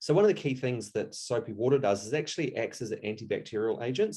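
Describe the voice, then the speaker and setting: The speaker is a man with a New Zealand accent. He talks at a very fast pace. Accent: Kiwi. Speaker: taxidermist. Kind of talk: tutorial.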